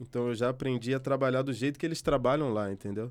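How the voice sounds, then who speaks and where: A man speaks at a medium pitch. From Brazil, Rio de Janeiro. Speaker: journalist. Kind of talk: interview. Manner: halting, self-correcting.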